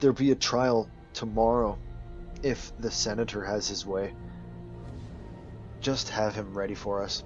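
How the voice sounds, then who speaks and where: With clear music in the background, a man uses a put-on character voice, gruff and fairly low in pitch, speaking at a moderate pace with long, frequent pauses. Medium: read story. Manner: blunt, scornful.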